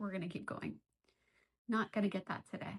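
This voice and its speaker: Vocal fry runs through this woman's speech. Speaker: art teacher leading a drawing session. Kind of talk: tutorial. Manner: casual, thinking aloud; whispering at moments.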